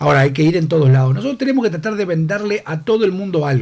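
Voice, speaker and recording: A man speaks with lively intonation in a Uruguayan accent. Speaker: politician. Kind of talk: radio interview.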